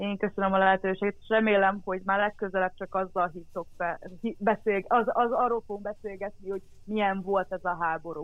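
Her intonation stays monotone and flat, at a medium pitch for a woman. She talks at a fairly quick pace. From Transcarpathia, Ukraine (Hungarian minority). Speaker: former volunteer. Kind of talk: casual interview. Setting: remote call.

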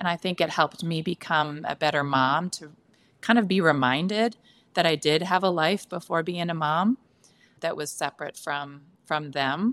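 On a very clean recording over a silent background, dry and close with no echo, a woman with an ordinary speaking voice talks at a moderate pace and a fairly low pitch with ordinary pitch variation. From San Francisco Bay Area, US. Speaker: author and former teacher. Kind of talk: casual interview.

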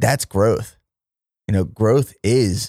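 A man's dark, mellow voice with an American accent and ordinary pitch variation, dry and close with no echo, in a very clean recording with a silent background. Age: 30s. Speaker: fitness entrepreneur and podcast host. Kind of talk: solo monologue podcast.

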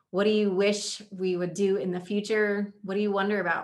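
In a normal speaking voice, a woman talks at a medium pitch with fairly even intonation. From Indiana, US Midwest. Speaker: podcast host, leadership coach. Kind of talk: casual chat. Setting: studio, same room as co-host.

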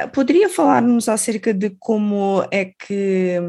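In an unremarkable speaking voice, a woman talks at a fairly slow pace in a medium pitch with ordinary pitch variation, the background quiet. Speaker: radio host. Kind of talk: interview.

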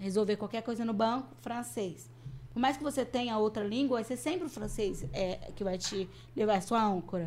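A woman talks in an ordinary speaking voice, fairly high in pitch, with lively intonation. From Brazil. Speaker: missionary. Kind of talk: interview.

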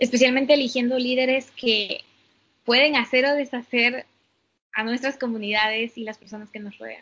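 With monotone, flat intonation but big swings in loudness, a woman speaks at a high pitch and a moderate pace. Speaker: podcast co-host. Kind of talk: casual chat.

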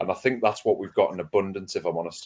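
A man with a Wearside accent speaks with fairly even intonation. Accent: Wearside (Sunderland) English. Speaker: podcaster and football fan. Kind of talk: casual chat. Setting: video call.

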